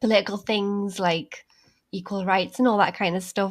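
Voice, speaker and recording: In a Geordie accent, the voice stays monotone with flat intonation on a very clean recording with a silent background. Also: woman. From northern England, Newcastle. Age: 20s. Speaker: creative director of an online pagan magazine. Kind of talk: podcast interview.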